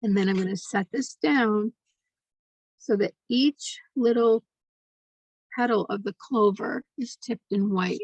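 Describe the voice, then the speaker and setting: Quiet and somewhat breathy, a woman speaks in a gentle tone at a fairly high pitch and a fairly slow pace, with ordinary pitch variation and long, frequent pauses in a dry, close sound with no echo. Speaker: art instructor. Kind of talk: tutorial. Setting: home studio, recording late at night. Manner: quiet, hushed; slow, gentle.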